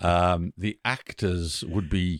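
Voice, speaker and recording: A man with an English accent speaks very slowly in a very deep, low voice with fairly even intonation, recorded dry and close with no echo against a silent background in a very clean recording. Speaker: theatre director and actor. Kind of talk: casual interview.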